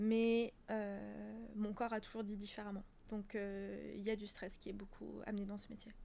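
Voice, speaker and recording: Audible room echo follows a woman as she talks at a fairly slow pace. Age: 20s. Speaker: professional dancer and yoga teacher. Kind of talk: casual interview. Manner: loud; laughs a lot.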